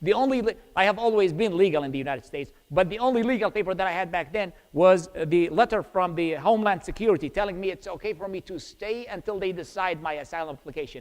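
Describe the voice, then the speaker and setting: A man with an Iraqi accent speaks very fast in a high voice, his intonation lively. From Iraq, Baghdad. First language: Arabic. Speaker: preacher. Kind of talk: testimony. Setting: church.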